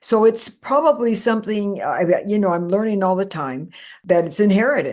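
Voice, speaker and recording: With a plain, everyday voice, a woman of medium pitch speaks at a moderate pace and with lively intonation. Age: 60s. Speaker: paranormal experiencer and author. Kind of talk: interview.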